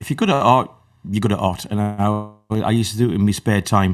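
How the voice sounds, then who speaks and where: A man with a northern English accent speaks at a moderate pace in a fairly low pitch with fairly even intonation. The recording is very clean with a silent background. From northern England, Newcastle area. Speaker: electronic musician. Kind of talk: interview.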